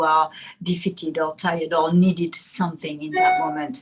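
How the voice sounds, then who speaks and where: A woman's somewhat breathy voice with a French accent. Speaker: guest mother and teacher. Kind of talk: interview. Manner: halting.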